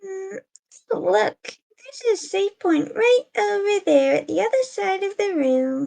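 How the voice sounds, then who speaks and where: A woman puts on a squeaky character voice at an extremely high pitch. The sound is dry and close with no echo. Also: fairly slow pace. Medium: read story. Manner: wry, teasing.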